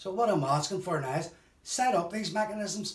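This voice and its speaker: A man with a Belfast accent speaks at a high pitch, a moderate pace and with lively intonation. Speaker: bereaved relative of a conflict victim. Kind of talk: testimony.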